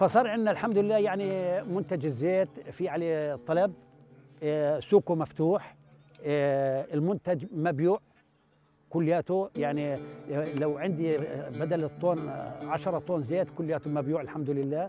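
A man at a fairly slow pace, with music in the background and a dry sound with no echo. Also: ordinary pitch variation. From Palestine, West Bank. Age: 70s. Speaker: olive farmer. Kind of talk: interview answer. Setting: outdoors. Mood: calm, content. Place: open country.

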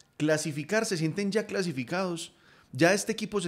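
Speaking with lively intonation, a man keeps a moderate pace. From Colombia. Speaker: football podcast host. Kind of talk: casual football chat. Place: home room. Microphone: studio mic.

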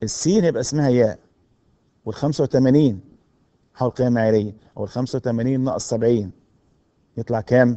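Speaking with an Egyptian accent, a man at medium pitch keeps a moderate pace with ordinary pitch variation and long, frequent pauses. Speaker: university lecturer. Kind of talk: recorded lecture.

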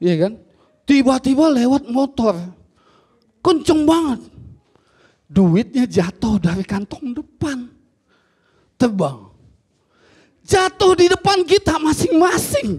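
Pitched extremely high, a man speaks at a very slow pace with very wide pitch swings. Long, frequent pauses break up his speech against a quiet background. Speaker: stand-up comedian and ojol driver. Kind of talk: stand-up comedy. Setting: stage with audience. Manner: complaining, unlucky-underdog persona, mimicking dialogue. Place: stage. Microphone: handheld.

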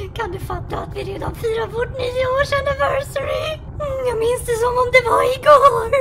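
Noticeable background noise accompanies a cartoonish character voice. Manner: scornful, mixes English phrases.

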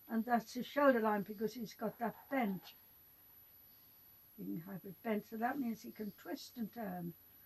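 A woman with an English accent, fairly high and somewhat breathy, at a fairly slow pace with long, frequent pauses and big swings in loudness. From England. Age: 80s+. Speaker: art teacher; drawing teacher. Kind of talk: tutorial. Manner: halting. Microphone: phone near.

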